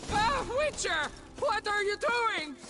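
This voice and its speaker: A man uses a put-on character voice at an extremely high pitch. Clear background noise is audible. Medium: video game.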